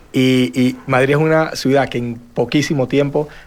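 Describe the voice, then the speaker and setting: In a Venezuelan accent, a man speaks at a medium pitch. His intonation is monotone and flat. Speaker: real estate panelist. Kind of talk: panel discussion.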